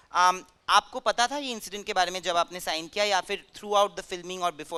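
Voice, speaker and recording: This man's voice sits high in pitch, with ordinary pitch variation and a bright, sharp tone. The sound is dry and close, with no echo. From Bengal, India. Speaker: interviewer. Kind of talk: interview at film festival.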